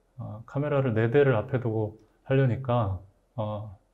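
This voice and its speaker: A man's dark, mellow tone at medium pitch, ordinary pitch variation, and a very slow pace. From Gyeongbuk, South Korea. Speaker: literary critic and moderator. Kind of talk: moderated literary talk. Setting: studio. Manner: stiff, hesitant with fillers.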